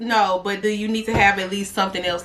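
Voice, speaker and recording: A woman speaks at a fairly quick pace amid noticeable background noise. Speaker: YouTuber. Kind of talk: casual vlog monologue.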